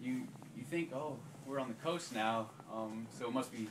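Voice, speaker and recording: Noticeable background noise behind speech with ordinary pitch variation. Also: man. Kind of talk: informal talk to a group. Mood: relaxed, smiling. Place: home room. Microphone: camera far.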